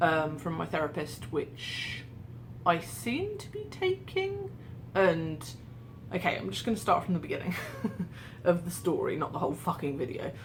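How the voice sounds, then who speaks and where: Amid noticeable background noise and audible room echo, a woman in an English accent talks at a moderate pace, with big swings in loudness and long, frequent pauses. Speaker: vlogger. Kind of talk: casual vlog monologue.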